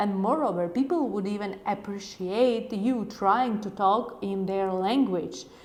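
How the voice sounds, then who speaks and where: With a Ukrainian accent, a woman speaks at a medium pitch with fairly even intonation, and audible room echo surrounds her voice. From Ukraine. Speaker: YouTuber, language learning tips. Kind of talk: casual vlog talk to camera.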